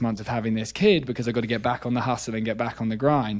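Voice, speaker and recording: A man with a British accent, medium-pitched, with ordinary pitch variation, on a very clean recording with a silent background. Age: 20s. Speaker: neuroscientist. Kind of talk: casual interview.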